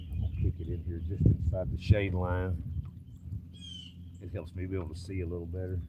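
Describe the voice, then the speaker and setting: A man with an East Tennessee accent and a very deep, low voice talks at a fairly quick pace, his intonation fairly even and his loudness swinging widely, with long, frequent pauses, audible room echo and noticeable background noise. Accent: US Southern (East Tennessee). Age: 60s. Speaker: fishing streamer. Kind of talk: casual live-stream chat. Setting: outdoors on a boat.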